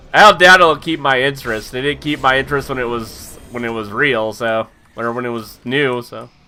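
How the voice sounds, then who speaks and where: A man speaks with ordinary pitch variation and big swings in loudness. Noticeable background noise runs behind him. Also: medium pitch for a man, moderate pace. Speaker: game streamer. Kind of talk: casual gameplay livestream chat.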